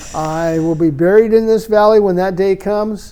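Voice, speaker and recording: A man with a high voice and ordinary pitch variation speaks over noticeable background noise. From Washington state, US Pacific Northwest. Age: 80s+. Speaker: Vietnam-era army veteran, retired telephone technician. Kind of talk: casual interview storytelling. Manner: hesitant, with fillers and restarts.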